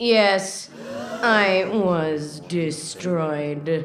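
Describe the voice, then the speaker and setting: A woman uses a put-on character voice at a fairly low pitch. There is an audible echo on the recording. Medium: audio drama. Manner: stilted, broken grammar.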